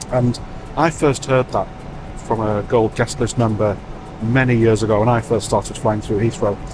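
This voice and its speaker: Music plays in the background as a man talks, the sound dry with no echo. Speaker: travel vlogger. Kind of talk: casual vlog chat. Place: plane. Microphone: lapel.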